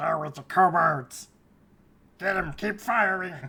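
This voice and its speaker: Raspy and fairly slow, the put-on character voice drags each line out. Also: female-sounding voice, medium pitch for a woman. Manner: excited, urgent, shouting.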